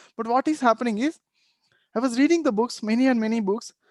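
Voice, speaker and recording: Speech in a Telugu accent moves at a fairly quick pace with ordinary pitch variation, in a dry, close sound with no echo. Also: man. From India, Telugu-speaking region. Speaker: meditation teacher. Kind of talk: workshop talk. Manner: halting.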